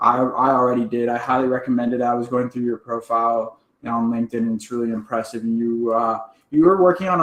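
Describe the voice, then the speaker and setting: Here a man talks in an ordinary speaking voice at a fairly quick pace. His pitch sits in the medium range. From Texas, Dallas. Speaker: event host. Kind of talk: virtual summit interview.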